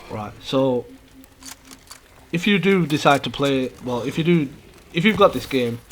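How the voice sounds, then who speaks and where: Mumbling at a fairly slow pace with long, frequent pauses, the voice comes through noticeable background noise. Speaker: gaming YouTuber. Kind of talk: gameplay commentary. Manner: hesitant, with many fillers.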